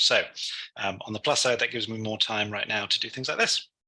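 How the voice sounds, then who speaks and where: The speaker is a man with a London accent. His tone is bright and sharp, and his intonation fairly even. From London, England. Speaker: technology instructor. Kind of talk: tutorial. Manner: hesitant, many fillers.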